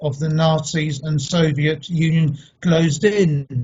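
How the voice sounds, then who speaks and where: A man at a fairly high pitch, in a London accent, with monotone, flat intonation. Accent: British English (London). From England (London), Polish family. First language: Polish. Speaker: speaker on heritage. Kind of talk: online talk.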